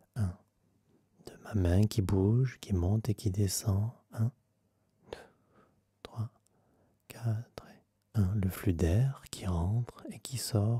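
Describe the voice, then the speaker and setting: Very slow and soft-spoken, a man talks in a fairly low, somewhat breathy voice with a dark, mellow tone, fairly even intonation, and long, frequent pauses. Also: big swings in loudness. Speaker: meditation guide; vocal coach. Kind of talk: guided meditation.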